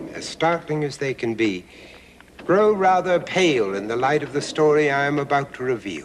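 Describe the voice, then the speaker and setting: Noticeable background noise sits behind a man's voice. His pitch is fairly high and swings very widely. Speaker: documentary narrator and host. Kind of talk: theatrical documentary narration as a spooky host. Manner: dramatic, ominous.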